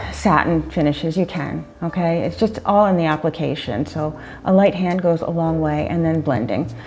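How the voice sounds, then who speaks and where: A woman's very deep, low voice with an upbeat tone and lively intonation, music playing behind her. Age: 50s. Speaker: makeup artist and photographer. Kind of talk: makeup tutorial talk to camera. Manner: casual, chatty, upbeat.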